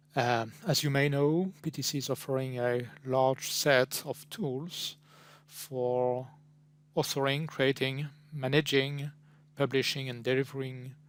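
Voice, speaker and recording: A man's medium-pitched voice at a fairly slow pace, with fairly even intonation. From France. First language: French. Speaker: pre-sales technical consultant. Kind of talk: product presentation. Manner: halting, with frequent fillers.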